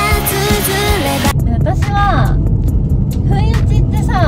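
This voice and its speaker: Over faint background music, a woman with a Yamaguchi accent speaks at a very slow pace. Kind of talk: casual chat while driving. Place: car. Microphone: phone near.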